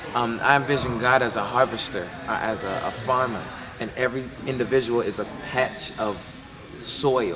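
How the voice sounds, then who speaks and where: A man with an American accent and medium pitch talks at a moderate pace with fairly even intonation and long, frequent pauses. Music plays in the background, and audible room echo is present. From US South. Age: 20s. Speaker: gospel musician. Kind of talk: interview.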